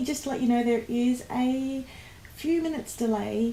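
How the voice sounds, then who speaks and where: Noticeable background noise sits behind this woman's voice. She speaks at a high pitch with fairly even intonation. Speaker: planner sticker shop owner. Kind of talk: casual live stream talk to camera. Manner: hesitant, many fillers.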